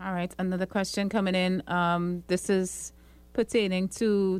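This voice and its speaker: A woman speaks at a fairly slow pace and medium pitch in a normal speaking voice. The recording is very clean, with a silent background. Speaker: radio host. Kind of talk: radio talk show.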